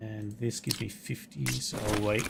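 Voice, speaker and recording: A man with an Australian accent speaks with fairly low pitch. Noticeable background noise runs underneath. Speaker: video game streamer. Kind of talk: live gameplay stream commentary. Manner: casual, chatty.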